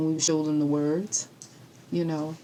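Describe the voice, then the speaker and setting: A woman speaks with an American accent. Her pitch is fairly low and her pace moderate. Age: 60s. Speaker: retired educator. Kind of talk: interview conversation. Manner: animated.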